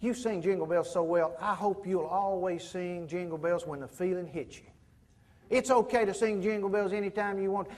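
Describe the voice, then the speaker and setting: A man with a Southern US accent talks at a fairly quick pace in a high voice, his pitch rising and falling in an ordinary way. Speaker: professional speaker. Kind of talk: motivational keynote storytelling.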